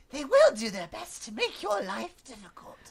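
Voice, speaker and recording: A female-sounding voice performs a put-on character voice, pitched high. The pace is moderate. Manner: mystical, ominous.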